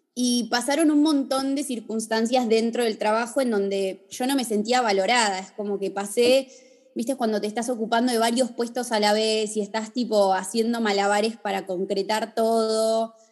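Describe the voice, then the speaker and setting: A woman's ordinary speaking voice, fairly high in pitch, at a moderate pace with fairly even intonation. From Argentina, Bariloche. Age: 30s. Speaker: fashion designer and influencer. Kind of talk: casual interview. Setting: video call.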